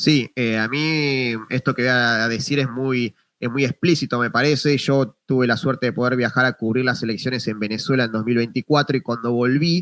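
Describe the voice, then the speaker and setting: A speaker with an Argentine accent talks at a moderate pace with fairly even intonation and hardly any pauses. The recording is very clean, with a silent background and a dry, close sound with no echo. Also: man, medium pitch for a man. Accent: Rioplatense Argentine Spanish. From Argentina, Buenos Aires province. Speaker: journalist. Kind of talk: interview.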